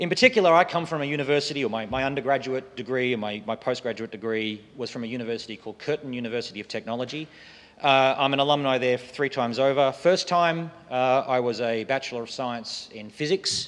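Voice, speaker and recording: A man with an Australian accent talks at a very fast pace, with hardly any pauses. His medium pitch shows ordinary variation. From Western Australia, Perth. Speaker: software foundation president and lecturer. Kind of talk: lecture. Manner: halting, frequent fillers.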